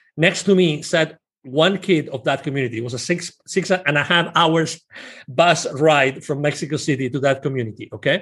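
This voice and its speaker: Speaking with a Spanish accent, a man uses a fairly high pitch and ordinary pitch variation. His pace is moderate, and the background is quiet. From Spain. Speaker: business consultant and nonprofit founder. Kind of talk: interview.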